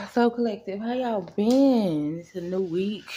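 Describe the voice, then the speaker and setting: Lively intonation marks a woman's medium-pitched voice as she speaks at a fairly slow pace over noticeable background noise. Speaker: spiritual reader / tarot channel host. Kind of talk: casual direct-to-camera spiritual message. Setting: at home, kids asleep. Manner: speaking quietly.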